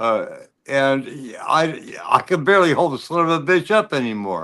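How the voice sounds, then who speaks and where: With a normal speaking voice, a man talks at a moderate pace. His pitch is fairly high and his intonation lively. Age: 60s. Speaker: motorcycle rider. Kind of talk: casual chat.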